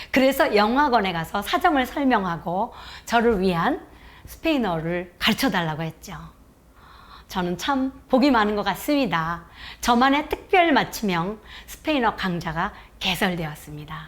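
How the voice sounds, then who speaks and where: A woman speaks at medium pitch and a moderate pace. Her pitch swings very widely. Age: 60s. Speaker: retired teacher and overseas volunteer. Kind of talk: personal talk on an online education broadcast. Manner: formal.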